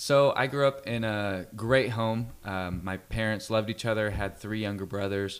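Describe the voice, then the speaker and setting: A man with a Californian accent talks at a fairly slow pace. His voice sits fairly low, with ordinary pitch variation. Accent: General American (Californian). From Central California (Fresno). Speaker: worship leader and musician. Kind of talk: radio interview.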